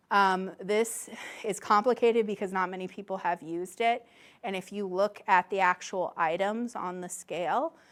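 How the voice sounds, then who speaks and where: A woman at medium pitch with ordinary pitch variation and an unremarkable speaking voice, on a very clean recording with a silent background. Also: moderate pace. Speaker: academic researcher giving a talk. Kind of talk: lecture.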